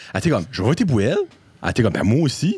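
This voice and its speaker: Very wide pitch swings from a somewhat breathy man. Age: 30s. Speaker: podcast guest. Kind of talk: casual chat.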